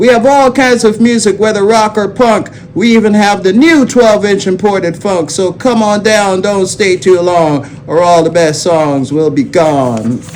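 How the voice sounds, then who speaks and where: Over noticeable background noise, a man with a high pitch speaks at a fairly slow pace with hardly any pauses, his intonation lively and his loudness very even. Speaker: DJ, radio host. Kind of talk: reading old radio jingle aloud.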